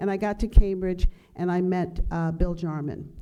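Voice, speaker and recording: A woman's dark, mellow tone at a moderate pace. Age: 60s. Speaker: museum director and keynote speaker. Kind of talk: podcast interview, personal story.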